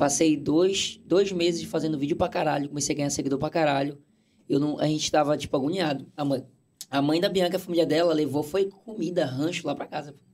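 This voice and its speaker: He has a plain, everyday voice, a man at a fairly high pitch. His pace is fairly quick and his intonation fairly even. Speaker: content creator. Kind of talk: casual chat. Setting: studio.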